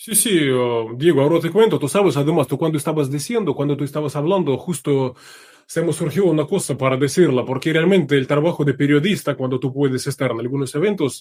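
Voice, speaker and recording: A man's fairly high voice in a Russian accent, fairly quick, with ordinary pitch variation. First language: Russian (speaking Spanish). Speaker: journalist. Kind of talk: interview.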